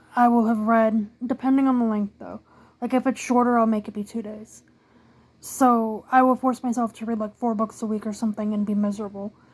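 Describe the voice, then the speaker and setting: The woman's voice is fairly high-pitched and somewhat breathy. She talks at a fairly quick pace with monotone, flat intonation. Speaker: book youtuber. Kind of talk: casual monologue.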